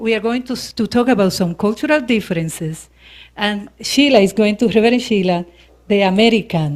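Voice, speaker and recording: A woman speaks in a Spanish accent at a fairly high pitch, with ordinary pitch variation. She keeps a fairly quick pace, and the recording is very clean with a silent background. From Dominican Republic / Puerto Rico. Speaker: minister. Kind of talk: sermon. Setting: church service with audience.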